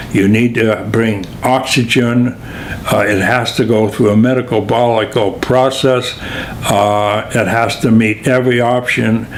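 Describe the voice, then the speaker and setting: The speaker has an American accent and a monotone, flat intonation, talking at a very slow pace with very even loudness. Audible room echo and noticeable background noise are present. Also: man, medium pitch for a man. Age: 80s+. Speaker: retired physical therapist and physical educator. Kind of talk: interview answer. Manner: halting, many fillers.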